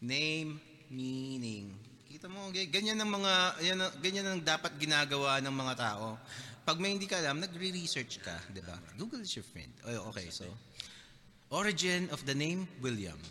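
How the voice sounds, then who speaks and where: His fairly high voice has a bright, sharp tone, and the man's pitch swings very widely. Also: moderate pace. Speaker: podcast host. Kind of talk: casual chat. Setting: studio.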